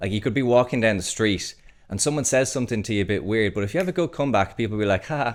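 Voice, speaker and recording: Talking at a very fast pace with lively intonation, a man with a Dublin accent has a fairly low pitch. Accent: Dublin Irish. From Ireland, Dublin. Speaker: podcast host. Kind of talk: podcast interview before live audience. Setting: live podcast with crowd.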